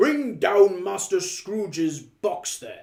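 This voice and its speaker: A man shouts in a put-on character voice, pitched high, with lively intonation and a very slow pace. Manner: shouting, commanding.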